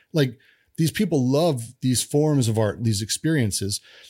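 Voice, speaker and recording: A man with an ordinary speaking voice, medium pitch and an American accent, going at a fairly slow pace with lively intonation. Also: very clean recording, silent background. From US, Denver, Colorado. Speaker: game developer. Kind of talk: casual chat.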